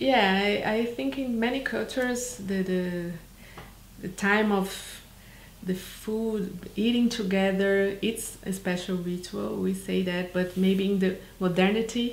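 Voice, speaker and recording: Very slowly, a woman with a Brazilian accent speaks at a medium pitch with ordinary pitch variation, amid noticeable background noise and audible room echo. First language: Portuguese. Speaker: documentary filmmaker. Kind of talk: interview. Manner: halting, many fillers.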